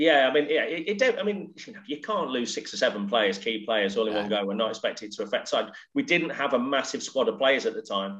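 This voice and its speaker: A man's very fast delivery with hardly any pauses. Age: 40s. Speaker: former professional footballer. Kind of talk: casual chat. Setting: remote call from home office.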